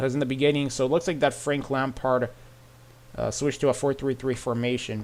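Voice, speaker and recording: Talking at a very fast pace, a man with an American accent keeps his medium pitch in a monotone, flat delivery. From United States. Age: 20s. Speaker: football reaction streamer. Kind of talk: casual live-stream match reaction. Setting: live stream. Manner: casual, filler-heavy.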